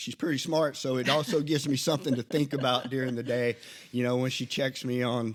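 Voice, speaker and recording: In a Southern US accent, a man speaks at a medium pitch. His pace is moderate and his intonation fairly even. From Alabama. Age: 50s. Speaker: podcast co-host, Army veteran. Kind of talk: casual chat. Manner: halting.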